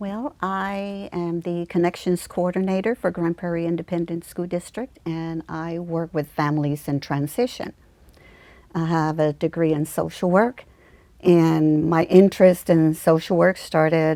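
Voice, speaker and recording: A woman's fairly low, dark, mellow voice at a fairly slow pace with fairly even intonation, on a very clean recording with a silent background. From Mexico. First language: Spanish. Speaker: school social worker. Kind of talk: interview.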